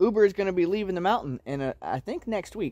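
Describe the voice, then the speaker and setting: Very fast and with ordinary pitch variation, a man speaks in a dark, mellow tone, the sound dry with no echo against a quiet background. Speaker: homesteading vlogger. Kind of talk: casual vlog chat. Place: forest. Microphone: phone near.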